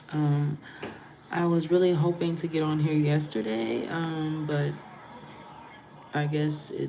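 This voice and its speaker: Amid noticeable background noise and audible room echo, a woman speaks in a very deep, low pitch with fairly even intonation. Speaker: spiritual channeler and tarot reader. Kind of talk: livestream chat with viewers.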